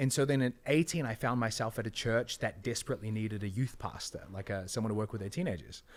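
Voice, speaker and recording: Very fast and animated, a man with a New Zealand accent talks at medium pitch with ordinary pitch variation and hardly any pauses. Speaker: entrepreneur and online business coach. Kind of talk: podcast interview.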